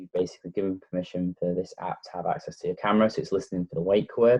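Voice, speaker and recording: A man speaks in a Lancashire accent at a very deep, low pitch. His intonation is fairly even, and the sound is dry and close with no echo. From northern England, Blackpool, Lancashire. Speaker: tech reviewer. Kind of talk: tutorial.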